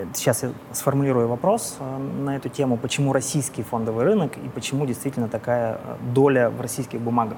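Noticeable background noise sits behind a voice that moves at a fairly quick pace. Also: man. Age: 40s. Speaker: business executive and amateur triathlete. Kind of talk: casual chat.

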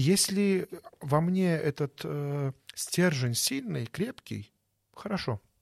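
A man with a fairly high pitch speaks at a very slow pace, with lively intonation and long, frequent pauses. The sound is dry and close with no echo, on a very clean recording with a silent background. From Belarus (born in Baku). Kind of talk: interview.

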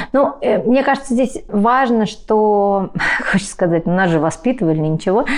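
A woman uses an ordinary speaking voice at a fairly high pitch. Her intonation is lively. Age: 40s. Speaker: writer and parenting blogger. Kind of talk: interview conversation.

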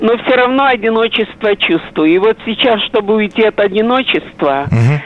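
A woman speaks at medium pitch over noticeable background noise. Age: old. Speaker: caller. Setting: phone call.

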